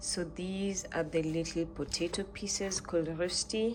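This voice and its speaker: Over noticeable background noise, a woman speaks at a fairly slow pace in a calm tone with fairly even intonation. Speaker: food and lifestyle vlogger. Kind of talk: casual cooking vlog. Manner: quiet and calm today.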